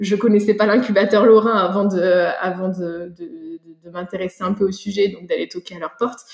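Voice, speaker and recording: A woman talks in a plain, everyday voice at a medium pitch and moderate pace. Her pitch variation is ordinary, but her loudness swings widely. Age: 30s. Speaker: soil scientist and startup founder. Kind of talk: interview.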